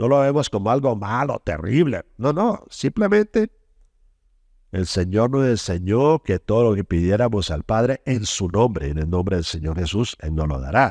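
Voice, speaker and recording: A man at a fairly low pitch, very wide pitch swings and a moderate pace, in a dry, close sound with no echo and a quiet background. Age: 60s. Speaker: preacher. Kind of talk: sermon.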